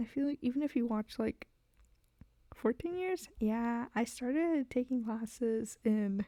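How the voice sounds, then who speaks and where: Soft-spoken and very even in loudness, a woman speaks in a high, dark, mellow tone with a dry, close sound and no echo. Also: ordinary pitch variation, fairly slow pace. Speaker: VTuber streamer and artist. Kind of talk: casual live stream chat while drawing. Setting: live stream. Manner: quiet, soft-spoken; halting, many fillers. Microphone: too quiet on stream.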